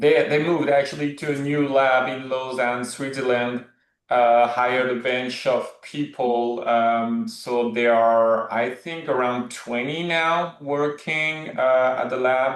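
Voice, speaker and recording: The man talks very slowly, with hardly any pauses, in a French accent. His intonation stays fairly even against a quiet background. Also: medium pitch for a man. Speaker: movement specialist. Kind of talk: podcast discussion. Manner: halting.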